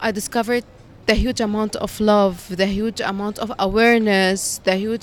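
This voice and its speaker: Moderate pace, ordinary pitch variation and an Arabic accent. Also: woman. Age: 20s. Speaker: college teacher. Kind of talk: street interview.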